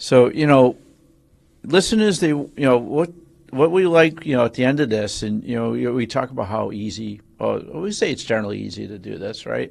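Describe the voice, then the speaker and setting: A man's medium-pitched voice at a moderate pace, with lively intonation and big swings in loudness. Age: 50s. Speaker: podcast co-host. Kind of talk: casual chat.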